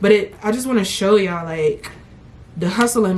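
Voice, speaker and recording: Ordinary pitch variation from a woman at medium pitch. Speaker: vlogger. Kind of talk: casual vlog talk. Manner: animated.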